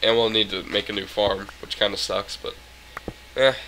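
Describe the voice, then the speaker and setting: A man's voice against noticeable background noise. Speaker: gaming YouTuber. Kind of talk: casual gameplay commentary. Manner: animated, rambling.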